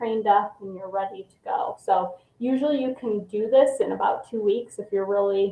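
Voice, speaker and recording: Speaking with fairly even intonation at a moderate pace, a woman has a plain, everyday voice. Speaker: hospital volunteer coordinator. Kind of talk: informational presentation to students.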